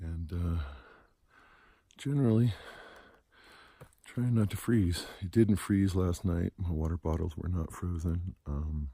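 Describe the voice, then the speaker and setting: A soft-spoken man with a very deep, low pitch and a dark, mellow tone, somewhat breathy, at a fairly slow pace with long, frequent pauses and ordinary pitch variation, on a very clean recording with a silent background. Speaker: long-distance hiker vlogger. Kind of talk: casual video diary. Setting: outdoors on mountain trail. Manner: soft-spoken, speaking low.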